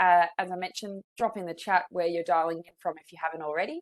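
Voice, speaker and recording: A woman with a strong Australian accent and medium pitch, in a dry, close sound with no echo. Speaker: psychologist, webinar presenter. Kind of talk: webinar presentation.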